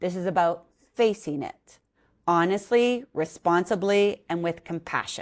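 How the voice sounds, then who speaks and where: With a Canadian accent, a woman speaks at a moderate pace in an energetic tone with lively intonation, on a very clean recording with a silent background. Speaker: podcast host. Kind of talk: podcast interview.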